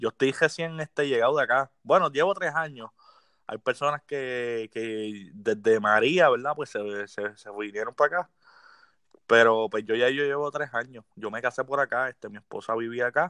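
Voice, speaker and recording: A man's medium-pitched voice at a moderate pace, bright and sharp in tone, with ordinary pitch variation and big swings in loudness, dry and close with no echo over a quiet background. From Puerto Rico, Las Piedras. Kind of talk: casual interview chat.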